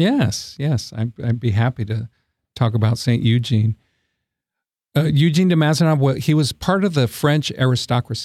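An American-accented man speaks at medium pitch and a moderate pace, somewhat breathy, with lively intonation and very even loudness, in a dry, close sound with no echo. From Texas, San Antonio. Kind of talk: interview. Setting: studio. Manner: halting, frequent repetitions.

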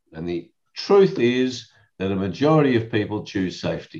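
A man with an Australian accent speaks very slowly at a medium pitch, his pitch swinging very widely. The background is quiet. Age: 60s. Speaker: lawyer and professional speaker. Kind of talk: casual chat.

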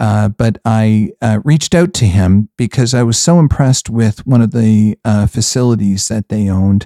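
A man with a Canadian accent speaks in a fairly low pitch and dark, mellow tone, with ordinary pitch variation, very even loudness, and a dry, close sound with no echo in a very clean recording with a silent background. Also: moderate pace. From Canada. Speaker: podcast host, real estate investor. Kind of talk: casual interview.

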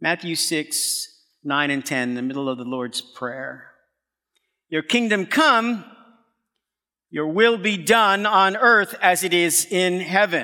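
With an American accent, a man speaks very slowly in a high-pitched, bright, sharp voice, using very wide pitch swings and long, frequent pauses. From US Northeast, Brooklyn, New York. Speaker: pastor. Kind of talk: sermon. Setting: stage with audience.

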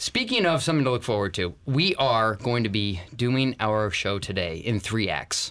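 A man with a normal speaking voice talks at a moderate pace, with hardly any pauses and very even loudness. His pitch sits in the medium range, and his intonation is lively. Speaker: podcast host. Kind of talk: casual banter, business podcast. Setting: studio.

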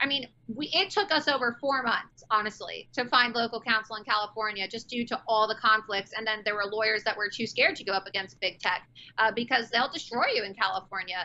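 In an American accent, a woman with a normal speaking voice talks at a fairly high pitch and a fairly quick pace with ordinary pitch variation. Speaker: political candidate and activist. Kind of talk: interview on talk show. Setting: remote call from Florida.

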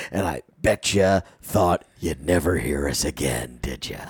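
The man speaks in a put-on character voice with a raspy quality. His pitch is very deep and low, and his pace is moderate. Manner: spooky, ghostly.

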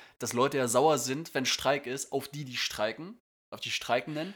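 A man talks at a moderate pace and medium pitch, with ordinary pitch variation. The recording is very clean, with a silent background. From northern Germany. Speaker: podcast co-host, airline pilot. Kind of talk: casual chat.

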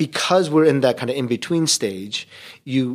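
A man has an ordinary speaking voice with an American accent. He talks at a moderate pace and medium pitch. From US, Korean immigrant family. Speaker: seminary professor and pastor. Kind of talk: podcast interview. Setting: hotel conference room.

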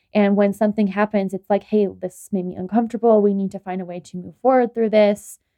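A woman at a medium pitch, talking at a very fast pace with fairly even intonation. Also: big swings in loudness. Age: 20s. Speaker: podcast co-host and young mother. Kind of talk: casual chat.

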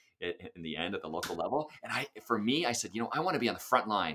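A man with an American accent, bright, sharp tone, medium pitch, very wide pitch swings and a very fast pace. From California, Sacramento. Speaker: music education professor and band director. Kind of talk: interview.

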